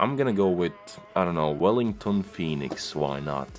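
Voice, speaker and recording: A man's voice with very deep, low pitch. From Latvia. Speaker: football YouTuber. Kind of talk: casual commentary video. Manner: casual, thinking aloud.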